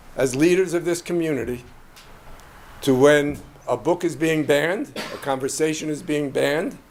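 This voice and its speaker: A man with an American accent at a moderate pace, ordinary pitch variation and audible room echo. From New York. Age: 70s. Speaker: resident speaking at public comment. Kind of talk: public comment at council meeting. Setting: city commission meeting.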